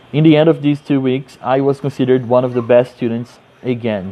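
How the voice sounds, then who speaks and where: A man at medium pitch with a Portuguese accent and monotone, flat intonation, against noticeable background noise. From Brazil, Rio de Janeiro. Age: 30s. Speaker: English teacher. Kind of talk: personal introduction monologue.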